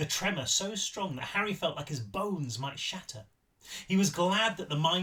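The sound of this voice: What you hear is an unforced reading voice.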